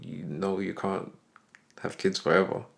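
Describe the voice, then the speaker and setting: A man with a British accent talks at a fairly low pitch with ordinary pitch variation. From UK. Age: 30s. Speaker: podcast co-host. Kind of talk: casual chat.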